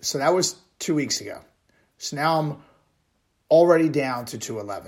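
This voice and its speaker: A man speaks at a moderate pace. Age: 40s. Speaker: running podcaster, retired pro wrestler. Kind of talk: solo personal monologue. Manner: casual with many filler words.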